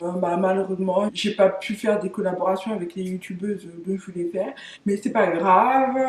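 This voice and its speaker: Noticeable background noise runs under speech that keeps a moderate pace. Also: woman, medium pitch for a woman, fairly even intonation. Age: 30s. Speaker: YouTuber. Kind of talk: casual vlog talk to camera. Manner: hesitant, many fillers.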